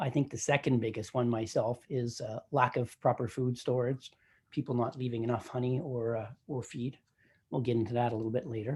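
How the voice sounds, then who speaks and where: A man's somewhat breathy voice with a Canadian accent and fairly even intonation. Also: medium pitch for a man, fairly quick pace. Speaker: commercial beekeeper. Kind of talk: presentation at a virtual meeting. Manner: fast; hesitant, many fillers.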